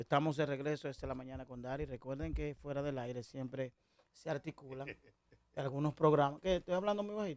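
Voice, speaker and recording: Fairly high male voice, its pitch varying in an ordinary way. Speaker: talk radio host. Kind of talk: radio talk show interview. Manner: deliberately measured, not shouting.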